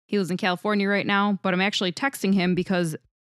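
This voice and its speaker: A woman's normal speaking voice at medium pitch, at a fairly quick pace, in a dry, close sound with no echo. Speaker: podcast co-host. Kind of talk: casual chat. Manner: laughs often.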